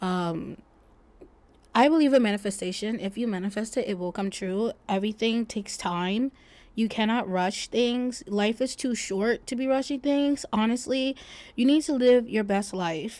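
The recording is very clean with a silent background, as a woman with a fairly high pitch speaks at a moderate pace and ordinary pitch variation. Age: 20s. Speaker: podcast host. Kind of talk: casual monologue. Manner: hesitant, many fillers.

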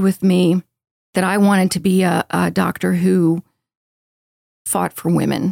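Dry and close with no echo, the voice moves at a moderate pace with an American accent. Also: woman. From Baltimore, US Northeast. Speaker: psychiatrist. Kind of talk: interview. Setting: studio.

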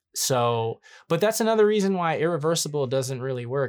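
A normal speaking voice from a man at a fairly quick pace, on a very clean recording with a silent background. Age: 30s. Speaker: podcast co-host, filmmaker. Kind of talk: casual chat.

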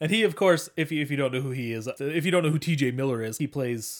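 In a very clean recording with a silent background, a man with a plain, everyday voice talks fairly quickly, his pitch fairly high and its variation ordinary. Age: 30s. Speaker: podcast co-host. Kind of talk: casual chat.

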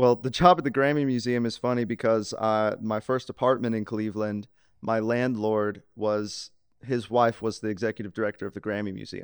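A man with an American accent, medium pitch, fairly even intonation, moderate pace, and a quiet background. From US South, Mississippi (Laurel). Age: 20s. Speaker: sound engineer. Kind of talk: casual interview.

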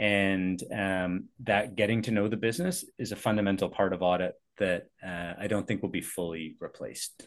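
At a moderate pace, a man with a Canadian accent speaks in a normal speaking voice, fairly low in pitch, against a quiet background. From Canada, Vancouver area (Richmond, BC). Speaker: airport executive, former accountant. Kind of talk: casual interview.

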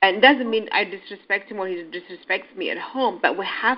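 The woman's voice sits at a medium pitch. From Ethiopia and Kenya. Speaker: restaurant co-owner. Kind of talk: casual interview.

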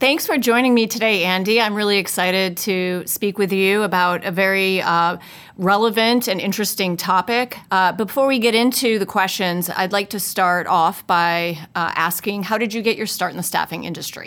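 Using a normal speaking voice, a woman talks at a moderate pace and medium pitch with ordinary pitch variation and hardly any pauses. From upstate New York. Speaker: HR executive interviewer. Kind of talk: interview.

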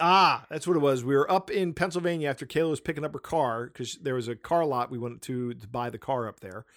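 Over a silent background in a very clean recording, a plain, everyday voice moves at a fairly quick pace with ordinary pitch variation. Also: man. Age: 30s. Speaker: podcast host. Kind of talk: casual chat.

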